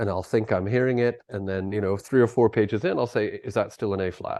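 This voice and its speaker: With an American accent, a man speaks at a fairly quick pace in a fairly low pitch, his dark, mellow tone carrying fairly even intonation. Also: quiet background. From US Midwest, Minnesota. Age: 60s. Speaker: conductor and music teacher. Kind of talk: casual interview chat. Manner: halting, many restarts.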